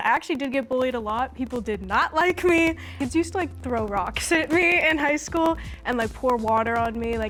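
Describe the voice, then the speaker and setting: A woman at a high pitch and a fairly quick pace, with lively intonation and music in the background. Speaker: reality show participant. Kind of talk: confessional interview. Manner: anxious when speaking.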